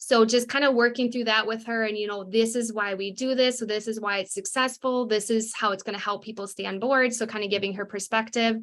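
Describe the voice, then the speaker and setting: A woman talks at a fairly quick pace in a fairly high voice, with hardly any pauses. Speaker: network marketing team leader. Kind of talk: live webinar training. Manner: fast; animated.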